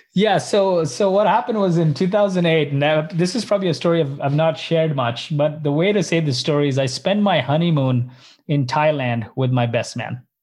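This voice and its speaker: In an ordinary speaking voice, a man with a fairly high pitch talks at a fairly quick pace over a quiet background. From Canada, Indian background. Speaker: startup co-founder. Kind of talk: interview.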